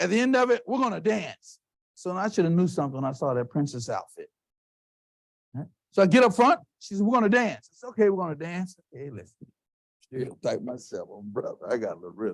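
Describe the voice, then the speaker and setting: Speaking at a very fast pace, a man lets his volume rise and fall sharply. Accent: American. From Texas. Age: 50s. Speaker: keynote speaker. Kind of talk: keynote speech. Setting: stage with audience. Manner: animated.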